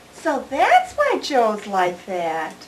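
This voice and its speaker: A female-sounding, high-pitched voice is doing a put-on character voice. Its pitch swings very widely. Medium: short film.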